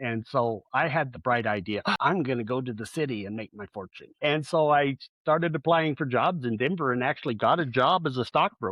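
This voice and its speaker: The speech moves at a fairly quick pace with hardly any pauses. Its intonation is lively. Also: man, medium pitch for a man. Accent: Southeast Colorado. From southeast Colorado, US. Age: 60s. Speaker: relationship coach. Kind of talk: interview. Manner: halting.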